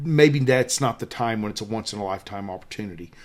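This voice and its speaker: The speaker is a man with a Southern US accent. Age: 50s. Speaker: wildlife photographer and workshop leader. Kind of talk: tutorial. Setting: hotel room. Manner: animated.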